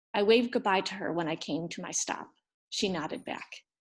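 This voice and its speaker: A woman with an American accent and an ordinary speaking voice, medium pitch, ordinary pitch variation, a fairly quick pace, very clean recording and a silent background. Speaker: former English teacher in Japan, storyteller. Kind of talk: reading aloud. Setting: storytelling event.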